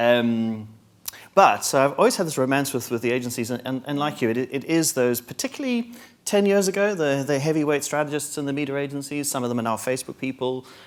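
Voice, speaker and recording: Very fast speech in a strong South African accent. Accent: South African, stronger. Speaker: marketing executive. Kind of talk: panel discussion.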